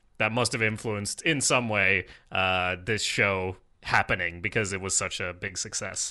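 Over a quiet background, a man with a Swedish accent speaks in a bright, sharp tone at a fairly low pitch with ordinary pitch variation. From Sweden. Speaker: podcast host. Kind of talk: casual chat.

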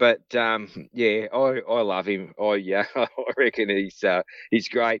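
This man has a plain, everyday voice at a medium pitch. His pitch varies in an ordinary way. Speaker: guest co-host. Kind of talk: casual chat.

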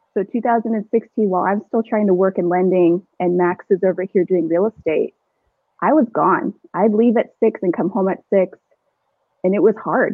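A woman talks at a moderate pace in a Southwestern US accent. Her pitch is medium, with ordinary variation. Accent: General American (Southwest). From Arizona, Chandler/Gilbert. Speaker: real estate agent. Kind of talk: casual chat.

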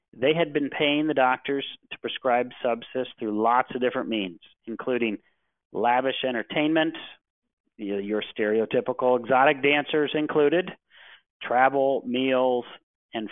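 A man with an American accent speaks in a normal speaking voice at medium pitch, fairly slowly and with ordinary pitch variation. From US Midwest (Cleveland, Ohio). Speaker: healthcare regulatory attorney. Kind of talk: webinar presentation.

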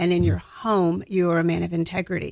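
The background is quiet. A woman talks with an American accent. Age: 60s. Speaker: counselor, financial client. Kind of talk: interview.

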